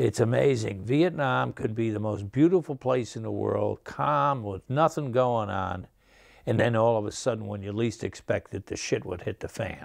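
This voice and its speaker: A man with an upstate New York accent, medium pitch, lively intonation and a moderate pace. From upstate New York (Menands, near Albany). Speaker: Vietnam combat veteran. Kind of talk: testimony. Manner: halting.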